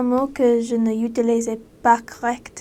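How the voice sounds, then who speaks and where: A woman speaks with a non-native accent. Her pitch is high. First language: not French (speaking French). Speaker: former missionary. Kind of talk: casual monologue. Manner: halting.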